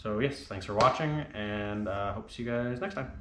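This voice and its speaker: Here a man speaks at a very fast pace in a fairly low pitch, with audible room echo around him. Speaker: car hobbyist vlogger. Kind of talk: DIY tutorial vlog. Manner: casual; quiet.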